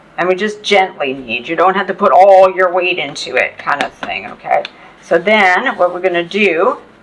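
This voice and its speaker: Noticeable background noise sits behind a woman's voice. She speaks at a moderate pace with medium pitch and ordinary pitch variation. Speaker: cooking channel host. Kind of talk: cooking tutorial. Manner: loud; casual, chatty with fillers.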